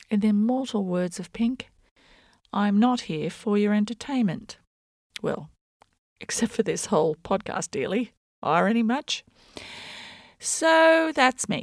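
A woman with an Australian accent, fairly high pitch, and lively intonation at a fairly slow pace with long, frequent pauses, in a very clean recording with a silent background and a dry, close sound with no echo. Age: 50s. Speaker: podcast host, journalist and performance artist. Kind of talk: scripted monologue. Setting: home bedroom.

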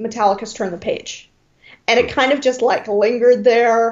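A woman's high-pitched voice with a Michigan accent, ordinary pitch variation and a moderate pace. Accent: US Midwest (Michigan). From Detroit, Michigan. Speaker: music fan. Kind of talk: casual chat.

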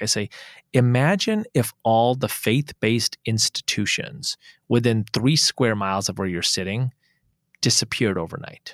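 Recorded with a dry, close sound and no echo, a man speaks at a moderate pace and medium pitch with ordinary pitch variation. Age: 40s. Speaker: interfaith organization founder. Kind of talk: casual chat.

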